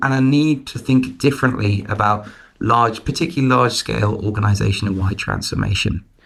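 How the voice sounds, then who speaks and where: Speaking with an English accent, a man talks at a medium pitch with ordinary pitch variation. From London, England. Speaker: management consultant. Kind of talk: interview.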